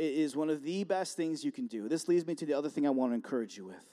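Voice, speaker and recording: With an American accent, a man speaks in a dark, mellow tone. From Buffalo, New York, US. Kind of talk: sermon. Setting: chapel service with audience. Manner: animated.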